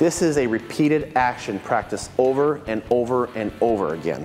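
A man speaks with faint music in the background. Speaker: martial arts instructor. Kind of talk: scripted presenter talk to camera. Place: gym.

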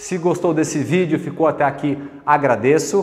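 A man's voice over noticeable background noise. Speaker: fitness equipment reviewer. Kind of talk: product review presentation. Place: gym. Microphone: lapel.

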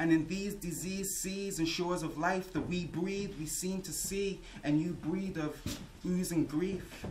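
A man talks at a moderate pace. Noticeable background noise runs under his voice. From Liverpool. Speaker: spoken word artist. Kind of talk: spoken word performance. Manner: rhythmic. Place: hall. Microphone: camera far.

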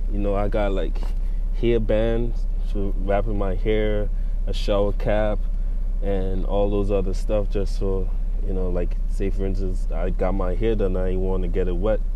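Over light background noise, a man speaks at a fairly slow pace with very even loudness and a dry sound without echo. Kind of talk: casual vlog chat. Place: car. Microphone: phone near.

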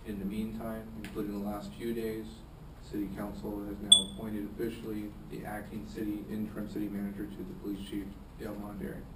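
Over clear background noise, a man speaks at a fairly quick pace in a monotone, flat intonation with fairly low pitch.

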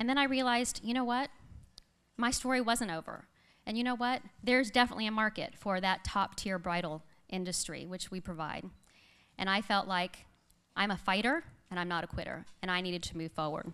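Against a quiet background, a woman talks at a fairly quick pace in a bright, sharp, animated tone with lively intonation, leaving long, frequent pauses. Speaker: business owner. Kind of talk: pep talk. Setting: stage with audience. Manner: upbeat, persuasive. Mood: earnest, determined. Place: stage. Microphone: podium.

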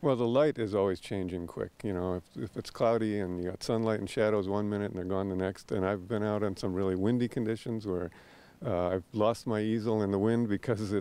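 In an unremarkable speaking voice, a man talks fairly quickly at a fairly low pitch with fairly even intonation, in a dry sound with no echo. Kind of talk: interview answer. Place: waterside. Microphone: handheld.

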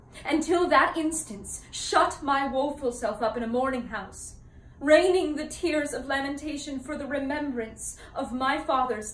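In a room with audible echo, a woman with a high pitch talks at a fairly slow pace with ordinary pitch variation. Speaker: actor performing a classical role. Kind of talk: dramatic monologue. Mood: earnest, sorrowful. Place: home room. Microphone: camera far.

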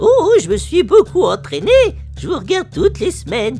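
A cartoonish character voice speaks at a moderate pace with clear music in the background. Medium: puppet. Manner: coy, excitable.

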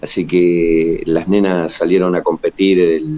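A man is speaking. His pace is fairly slow. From Argentina. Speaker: municipal sports official; guest. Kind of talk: remote interview. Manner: halting. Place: empty room. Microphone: studio mic.

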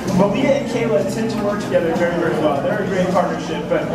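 Amid loud background noise and audible room echo, a man talks at a very fast pace. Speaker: animal trainer narrator. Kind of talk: show commentary. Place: stadium.

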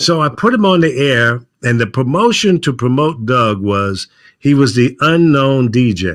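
Against a quiet background, a man talks at a fairly slow pace with lively intonation. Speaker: veteran radio program director; guest, former radio program director. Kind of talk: casual interview chat. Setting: remote video call from home studio. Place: home room. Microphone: video call.

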